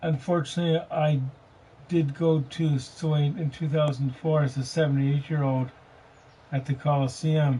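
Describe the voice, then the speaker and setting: At a moderate pace and very even loudness, a man speaks in monotone, flat intonation, his fairly high voice somewhat breathy with a dark, mellow tone. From British Columbia, Canada. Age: 50s. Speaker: gaming live streamer. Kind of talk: casual chat.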